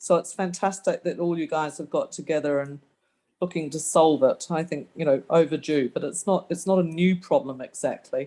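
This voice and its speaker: A woman speaks in a fairly low pitch with a dark, mellow tone. Her pace is moderate. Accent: slight New Zealand. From New Zealand. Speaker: local resident. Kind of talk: community meeting question.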